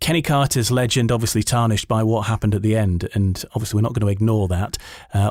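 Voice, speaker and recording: A man talks with a normal speaking voice. His pitch is medium and his intonation fairly even. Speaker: podcast host. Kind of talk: podcast interview questions.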